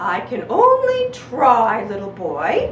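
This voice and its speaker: A put-on character voice, female-sounding, at a very slow pace with a slight echo. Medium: read story. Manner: mooing.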